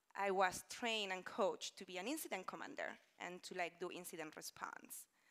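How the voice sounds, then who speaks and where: Against a quiet background, a woman speaks at a moderate pace in a bright, sharp tone with lively intonation. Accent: Spanish. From Spain. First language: Spanish. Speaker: conference speaker, engineering manager; conference speaker. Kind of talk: conference talk. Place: stage. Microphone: lapel.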